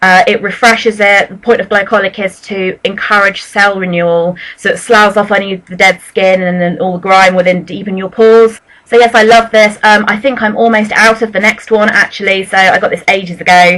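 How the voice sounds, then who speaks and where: Speaking at a fairly quick pace with hardly any pauses, a woman uses a bright, sharp tone, a medium pitch and fairly even intonation. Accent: British. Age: 20s. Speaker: beauty vlogger. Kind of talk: product review vlog. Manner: fast; casual, hesitant fillers. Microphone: poor sound quality.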